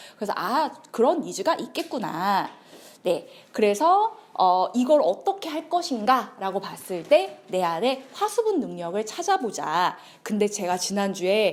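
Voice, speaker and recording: Keeping to a medium tempo, the female speaker's somewhat high pitch jumps across a very wide range. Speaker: lecturer. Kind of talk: lecture.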